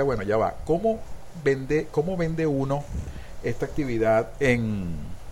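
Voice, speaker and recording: A man's fairly high, animated voice with very wide pitch swings and a Venezuelan accent. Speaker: podcast host. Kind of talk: casual chat. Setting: studio.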